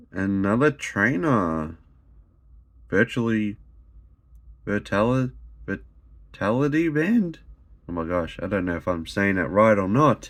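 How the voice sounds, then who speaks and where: In an Australian accent, a man speaks at a very slow pace with lively intonation and long, frequent pauses. The recording is very clean, with a silent background. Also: fairly low pitch for a man. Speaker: YouTuber opening trading card packs. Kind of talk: casual pack-opening commentary. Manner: animated; occasional stumbles.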